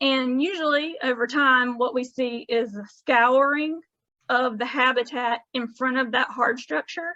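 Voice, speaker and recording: In a raised, projected voice, a woman speaks fairly slowly with a bright, sharp tone and a high pitch that varies in an ordinary way. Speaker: coastal education coordinator. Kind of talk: presentation over video call. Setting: video call.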